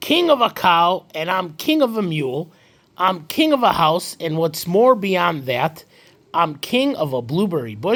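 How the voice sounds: The clip features a natural reading voice.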